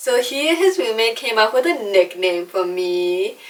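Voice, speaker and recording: With very wide pitch swings, a woman talks at a fairly slow pace over noticeable background noise. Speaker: YouTuber, artist. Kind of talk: casual talk to camera.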